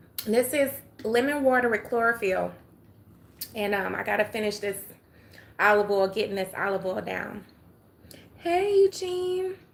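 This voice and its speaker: Speaking in an Atlanta accent, a woman keeps a moderate pace with long, frequent pauses. Her voice is fairly high in pitch. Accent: Southern US, Atlanta. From US South, Atlanta, Georgia. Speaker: livestreamer. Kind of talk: casual chat. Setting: live stream.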